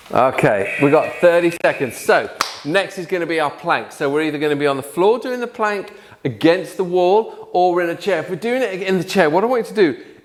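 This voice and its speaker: A man with a British accent and a high pitch talks in an energetic tone at a fairly quick pace, his intonation lively, with noticeable background noise behind him. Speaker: fitness instructor. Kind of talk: workout instruction. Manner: fast; energetic, encouraging.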